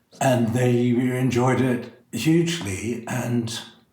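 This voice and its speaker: The man's medium-pitched voice carries audible room echo. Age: 60s. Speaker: drag performer. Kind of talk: interview.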